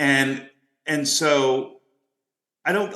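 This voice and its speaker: There is vocal fry in this man's bright, sharp voice. His pitch is fairly high. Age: 60s. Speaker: podcast host and life coach. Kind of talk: casual chat.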